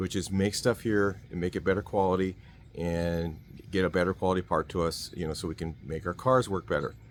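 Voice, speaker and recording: The words come out at a very fast pace in an American accent. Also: man. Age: 60s. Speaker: car mechanic YouTuber. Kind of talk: casual opinion monologue. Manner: hesitant, with filler words.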